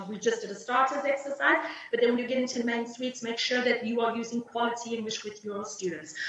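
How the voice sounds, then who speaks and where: A woman with a South African accent talks at a fairly quick pace with lively intonation. Noticeable background noise and audible room echo fill the recording. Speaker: English teacher trainer and exam invigilator. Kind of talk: teacher training webinar.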